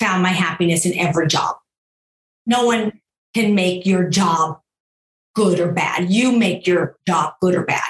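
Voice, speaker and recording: A woman uses an ordinary speaking voice at a medium pitch. She keeps a moderate pace with ordinary pitch variation. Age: 60s. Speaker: entrepreneur and gender equality advocate. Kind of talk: interview conversation.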